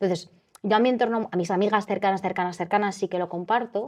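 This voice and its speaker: A woman speaks in an animated tone. Her pitch sits in the medium range. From Spain, Madrid. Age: 20s. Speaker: eating disorder survivor, interviewee. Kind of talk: personal testimony in interview. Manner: animated, self-interrupting with fillers.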